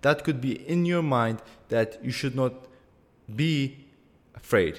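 On a very clean recording with a silent background, a man at medium pitch speaks very slowly with ordinary pitch variation. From Iraqi Kurdistan, Erbil. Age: young. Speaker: podcast host, entrepreneur. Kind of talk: solo podcast monologue.

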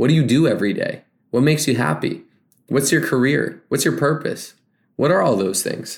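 An energetic man with vocal fry and lively intonation is heard on a very clean recording with a silent background. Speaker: podcast host. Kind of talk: solo motivational talk. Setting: recorded through laptop built-in microphone. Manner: podcast voice, different from everyday talk; casual, energetic.

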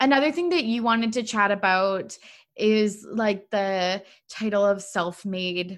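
A woman with an ordinary speaking voice and a medium pitch speaks at a fairly slow pace with ordinary pitch variation, in a very clean recording with a silent background. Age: 20s. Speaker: podcast host. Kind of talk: casual chat.

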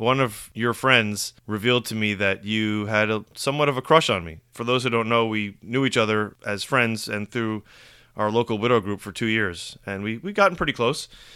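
In a very clean recording with a silent background, a man with a bright, sharp tone and medium pitch speaks at a moderate pace with fairly even intonation. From New York, Rockland County. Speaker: podcast co-host, widower. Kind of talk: casual chat.

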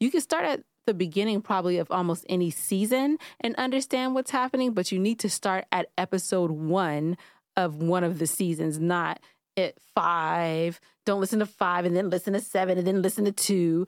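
A woman speaks at a moderate pace and a medium pitch, with ordinary pitch variation and very even loudness. The recording is very clean and dry, close with no echo, over a silent background. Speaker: podcast co-host. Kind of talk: casual banter podcast. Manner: joking, animated, sarcastic.

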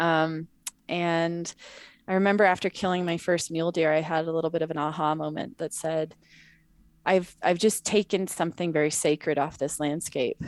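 In a very clean recording with a silent background, a woman with an American accent speaks at a moderate pace with fairly even intonation. Her pitch is fairly low, and she has a normal speaking voice. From US Mountain West (Montana, Wyoming). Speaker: wildlife conservation advocate. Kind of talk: casual interview.

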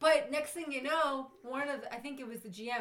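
A woman with a New York accent at a very fast pace, with audible room echo. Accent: New York (Staten Island). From New York, Staten Island. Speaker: bartender. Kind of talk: casual chat, storytelling.

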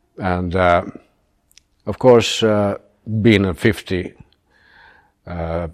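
Over a silent background in a very clean recording, a man speaks at a very deep, low pitch with ordinary pitch variation. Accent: Finnish. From Finland, Turku. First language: Finnish. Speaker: retired military and airline pilot. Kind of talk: interview. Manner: halting, many filler sounds.

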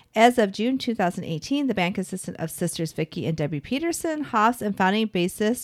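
Dry and close with no echo, a woman with an American accent speaks with lively intonation. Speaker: podcast host. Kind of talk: casual chat between friends, podcast.

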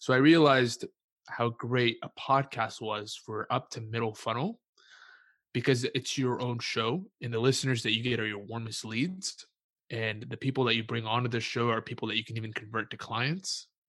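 In a plain, everyday voice, a man speaks at a medium pitch and moderate pace with fairly even intonation against a quiet background. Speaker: entrepreneur and podcast host. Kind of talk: casual interview.

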